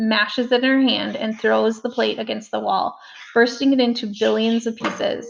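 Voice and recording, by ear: In a natural voice, someone reads aloud.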